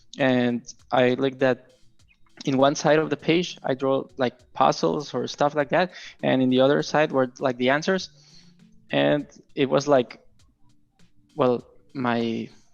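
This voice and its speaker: Music plays behind a man with a Spanish accent and a medium-pitched voice. He talks at a fairly slow pace, with long, frequent pauses. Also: ordinary pitch variation. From Mexico. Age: 20s. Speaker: game developer. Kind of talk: casual interview. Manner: halting, many fillers.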